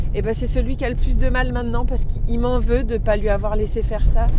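A woman is speaking over noticeable background noise. The room echo is audible. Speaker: podcaster. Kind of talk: personal monologue. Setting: in a car. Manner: halting.

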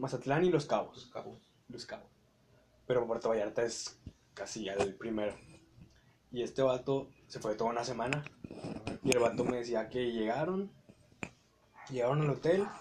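At a moderate pace with long, frequent pauses, the speaker talks in a Mexican accent over noticeable background noise. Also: man, medium pitch for a man, ordinary pitch variation. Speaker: podcast host. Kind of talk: casual chat.

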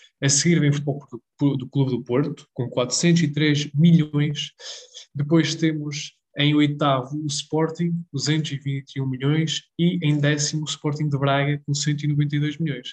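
Very slowly, a man speaks in a fairly high pitch, somewhat breathy, with flat, monotone intonation. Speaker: football podcast co-host. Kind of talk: casual chat.

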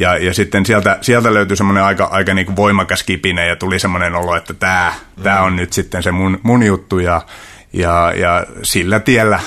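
At a moderate pace, a man talks in a very deep, low pitch with a bright, sharp tone and flat, monotone intonation. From Central Finland, rural. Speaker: martial arts coach. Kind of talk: casual interview. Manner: halting, many repetitions and fillers.

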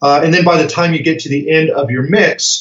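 A man with an American accent speaks at a moderate pace. His voice is somewhat breathy. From US Colorado. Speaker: music production trainer. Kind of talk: interview.

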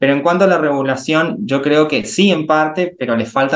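A man's unremarkable speaking voice at a fairly slow pace, with ordinary pitch variation. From Argentina, Resistencia, Chaco. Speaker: chemical engineer. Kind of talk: interview conversation.

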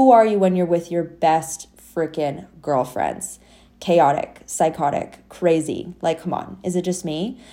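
Over a very clean recording with a silent background, a woman with a dark, mellow tone and fairly low pitch speaks at a fairly slow pace with ordinary pitch variation. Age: 20s. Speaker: podcast host, business coach. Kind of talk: solo podcast monologue. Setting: home recording, dog nearby.

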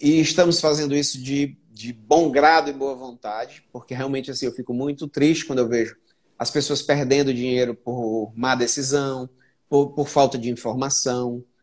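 This is an unremarkable speaking voice, with fairly even intonation at a moderate pace. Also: man, medium pitch for a man. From Brazil, Fortaleza (Northeast). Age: 40s. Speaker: entrepreneur and investor. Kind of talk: casual chat.

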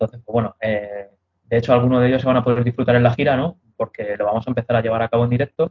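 The voice rushes along at a very fast pace and sounds somewhat breathy. Its intonation is fairly even. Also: man, medium pitch for a man. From Madrid, Spain. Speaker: metal band vocalist. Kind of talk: interview.

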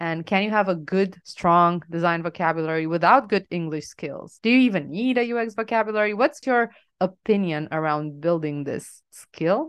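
A woman with a Romanian accent speaks at a moderate pace with hardly any pauses. Her pitch is fairly low and her intonation lively. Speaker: UX designer and podcast co-host. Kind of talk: casual chat.

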